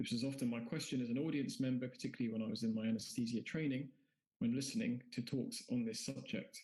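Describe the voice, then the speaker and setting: With a British accent, a man talks at a very fast pace in a dark, mellow tone, keeping his intonation fairly even and his loudness very even. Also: medium pitch for a man. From UK. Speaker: anaesthesiologist. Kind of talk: conference lecture.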